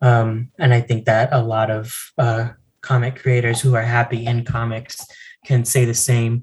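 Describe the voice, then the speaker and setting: At medium pitch, a man speaks at a moderate pace, somewhat breathy, with monotone, flat intonation. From US Southwest (El Paso, Texas). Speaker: comic book artist. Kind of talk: casual interview. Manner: halting, many fillers.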